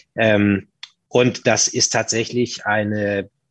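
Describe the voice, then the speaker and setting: The man's medium-pitched voice, with fairly even intonation, sounds dry and close with no echo against a quiet background. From northern Germany, Hamburg. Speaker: hotel group manager. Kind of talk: interview.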